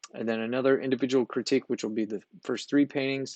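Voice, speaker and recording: The pace is fairly quick. The sound is dry and close with no echo, over a quiet background. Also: man. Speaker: art instructor. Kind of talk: course orientation tutorial. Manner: fast.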